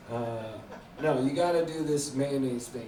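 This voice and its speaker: A man with a Montreal accent and fairly high pitch, at a moderate pace, amid noticeable background noise and audible room echo. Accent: sounds like Montreal. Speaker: stand-up comedian. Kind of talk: stand-up. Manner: hesitant, unconfident delivery.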